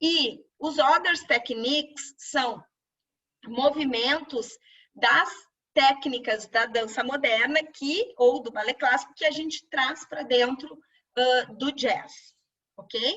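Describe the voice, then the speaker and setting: Lively in intonation, the speech moves at a very slow pace with long, frequent pauses. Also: woman. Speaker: dance teacher. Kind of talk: webinar lecture. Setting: online webinar.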